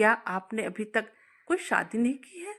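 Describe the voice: A woman's put-on character voice, fairly bright in tone and fairly high in pitch, with big pitch swings at a fairly slow pace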